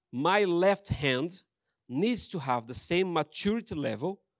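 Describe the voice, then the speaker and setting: Fairly high-pitched, a man speaks fairly slowly with very wide pitch swings. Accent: Brazilian. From Brazil. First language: Portuguese. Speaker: pastor. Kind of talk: sermon. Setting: church.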